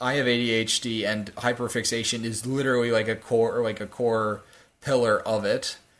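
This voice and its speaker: A man's medium-pitched voice in a monotone, flat intonation. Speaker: podcast co-host. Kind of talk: casual chat. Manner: fast; halting.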